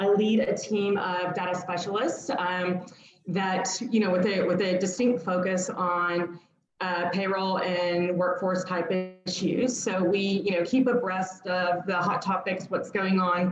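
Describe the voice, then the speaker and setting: Over music in the background and with audible room echo, a woman with an American accent speaks at a fairly slow pace and medium pitch, monotone and flat in intonation, her loudness very even. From United States. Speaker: data analytics accountant. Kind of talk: webinar presentation. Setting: online webinar.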